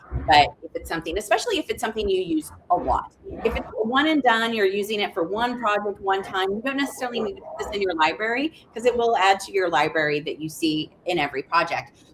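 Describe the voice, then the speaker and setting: A woman speaks at a very fast pace and medium pitch. Her pitch swings very widely over noticeable background noise. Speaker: software trainer. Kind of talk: webinar tutorial. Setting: live video stream.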